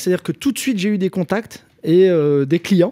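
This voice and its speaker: A man speaks at a high pitch and a moderate pace. The recording sounds dry and close, with no echo. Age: 30s. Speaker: electrician and social media influencer. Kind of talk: casual chat.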